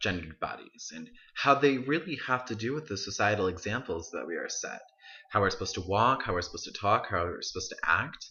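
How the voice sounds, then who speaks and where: The speaker is a man. His intonation is lively. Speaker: college student. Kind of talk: video essay monologue. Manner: casual, halting with self-corrections.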